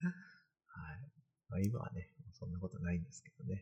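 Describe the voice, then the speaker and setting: A man speaks with a very deep, low pitch and a dark, mellow, somewhat breathy tone. His pitch swings very widely at a moderate pace. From Kanagawa, Japan. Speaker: postdoctoral researcher and live-stream host. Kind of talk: casual live-stream talk. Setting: live stream in virtual space.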